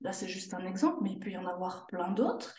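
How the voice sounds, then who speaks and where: In a Swiss accent, a somewhat breathy woman speaks with audible room echo. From Switzerland, canton of Jura. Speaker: sophrologist. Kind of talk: interview.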